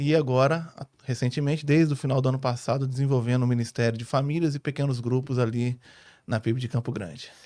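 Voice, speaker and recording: On a very clean recording with a silent background, a man with a dark, mellow tone and medium pitch talks at a fairly quick pace with fairly even intonation. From born in Rio, ministry years in northern Paraná, Brazil. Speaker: family pastor. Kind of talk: podcast interview.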